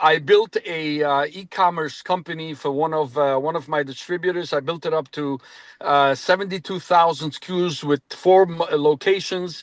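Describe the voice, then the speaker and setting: Against a quiet background, a man with a normal speaking voice talks at a moderate pace, his fairly high pitch held in fairly even intonation. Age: 60s. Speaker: business consultant. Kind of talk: self-introduction in a group meeting.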